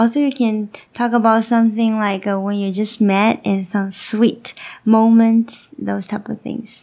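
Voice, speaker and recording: A woman talks at a fairly slow pace in a monotone, flat manner. Her tone is dark and mellow. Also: fairly high pitch for a woman. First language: Chinese. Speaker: co-host, host's wife. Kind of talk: casual interview chat. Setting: live video stream. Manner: halting, many fillers.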